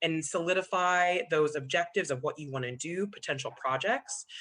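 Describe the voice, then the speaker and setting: A woman speaks with a bright, sharp tone at a medium pitch, her intonation lively over a quiet background. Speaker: commission staff member. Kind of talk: public meeting presentation. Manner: fast.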